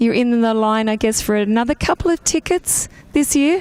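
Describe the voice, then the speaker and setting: Here a woman speaks with an Australian accent. Her pitch is fairly high and her pace moderate. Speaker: pit lane interviewer at kart race. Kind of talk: trackside interviews.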